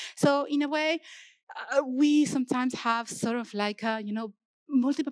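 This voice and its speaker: A woman is heard on a very clean recording with a silent background and a dry, close sound with no echo. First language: not English. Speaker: software engineer, open-source maintainer. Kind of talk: conference keynote. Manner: halting, many fillers and restarts.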